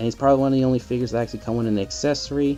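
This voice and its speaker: A soft-spoken man over music in the background. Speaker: toy collector. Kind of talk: casual talk to camera.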